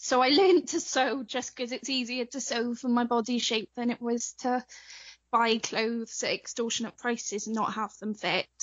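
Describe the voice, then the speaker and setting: Ordinary pitch variation in a British accent. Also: woman, high pitch for a woman, moderate pace. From Wales. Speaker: cosplayer. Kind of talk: interview.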